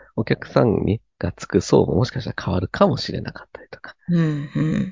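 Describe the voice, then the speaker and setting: A man speaks at a fairly quick pace. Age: 30s. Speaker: cram school teacher. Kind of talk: casual chat.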